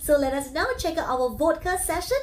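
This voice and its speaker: A woman is speaking. Her pitch is high. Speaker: podcast interviewer. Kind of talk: interview.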